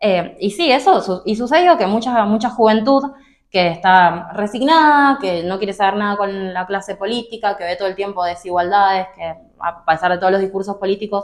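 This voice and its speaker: A woman with an unremarkable speaking voice, medium in pitch, at a moderate pace with ordinary pitch variation. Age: 20s. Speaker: political activist. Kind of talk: interview.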